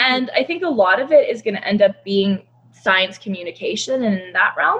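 A woman's fairly high voice at a moderate pace, a plain, everyday voice. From Canada. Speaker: conservationist. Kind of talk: casual chat.

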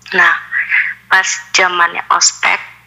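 A woman speaks over noticeable background noise. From Bandung, West Java, Indonesia. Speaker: podcast listener sharing ghost stories. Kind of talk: storytelling.

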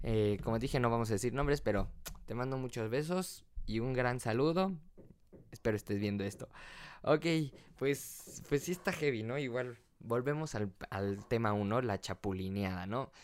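A man at a moderate pace with lively intonation. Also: medium pitch for a man. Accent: Mexican. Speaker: podcast host. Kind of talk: casual chat. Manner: animated.

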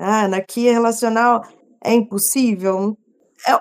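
On a very clean recording with a silent background, a woman speaks fairly slowly at a fairly high pitch. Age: 30s. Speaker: nutrition technician. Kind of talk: casual chat.

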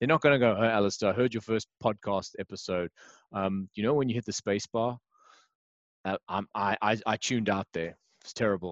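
Recorded dry and close with no echo over a quiet background, a man talks at a fairly quick pace with ordinary pitch variation. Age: 40s. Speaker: podcast host and part-time actor. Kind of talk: casual interview. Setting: remote call.

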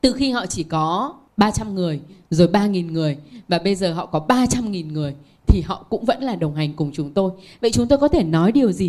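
At a moderate pace, a woman speaks at a medium pitch with very wide pitch swings. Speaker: author and manager. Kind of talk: panel talk.

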